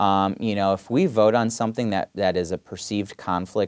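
On a very clean recording with a silent background, a man with a Michigan accent speaks at a moderate pace and fairly low pitch, the sound dry and close with no echo. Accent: Michigan (Inland North) American. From Michigan, Southfield (Detroit area). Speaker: state senator. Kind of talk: casual interview.

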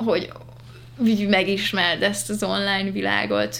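A woman speaks at a moderate pace with noticeable background noise behind her. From grew up abroad (Asia), moved to Hungary as a teen. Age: 20s. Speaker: singer-songwriter. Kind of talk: casual chat. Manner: halting, many repetitions and fillers.

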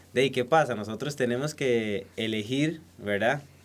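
He speaks in a plain, everyday voice. This man's medium pitch shows ordinary pitch variation. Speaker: beekeeper and honey producer. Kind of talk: casual interview. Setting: recording studio.

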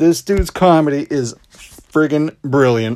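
A man speaks in an unremarkable speaking voice at a fairly slow pace, with ordinary pitch variation. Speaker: podcast host. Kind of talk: casual chat.

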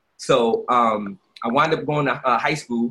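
With a Brooklyn accent, a man speaks at medium pitch in a bright, sharp tone. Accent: New York (Brooklyn). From Brooklyn, New York (Brownsville). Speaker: entrepreneur and youth basketball league founder. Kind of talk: casual interview.

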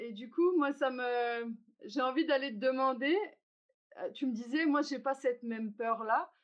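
Pausing long and often, a woman talks at a fairly slow pace in a high voice with ordinary pitch variation. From Algeria. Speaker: podcast host. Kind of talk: structured dialogue.

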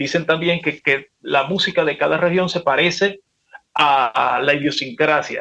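A man's fairly high, bright, sharp voice in a Maracaibo Venezuelan accent, at a fairly slow pace. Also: ordinary pitch variation, very even loudness. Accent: Maracaibo Venezuelan Spanish with voseo. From Venezuela, Maracaibo (Zulia). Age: 50s. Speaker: salsa singer. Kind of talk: casual chat.

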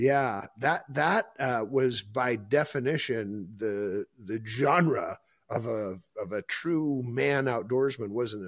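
The speaker has an Upper Midwest accent and talks at a very slow pace with ordinary pitch variation. The recording is very clean, with a silent background. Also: man, medium pitch for a man. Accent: Upper Midwest American. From northeast South Dakota. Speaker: podcast host. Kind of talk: casual interview. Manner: animated.

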